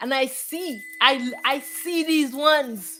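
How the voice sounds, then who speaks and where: A woman speaks with ordinary pitch variation. Music sits in the background. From Jamaica. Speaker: spiritual teacher. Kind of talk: spiritual talk. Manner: halting, repeats words.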